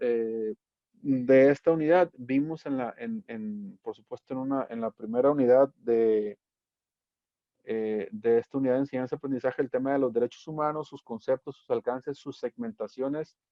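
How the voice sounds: With a dry, close sound and no echo, a man speaks at a fairly quick pace and medium pitch.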